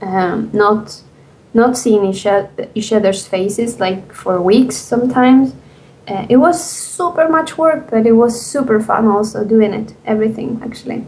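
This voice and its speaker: A woman with a fairly high voice and lively intonation talks at a moderate pace while noticeable background noise continues behind her. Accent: non-native. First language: not English. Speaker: indie game developer. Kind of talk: interview. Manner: halting.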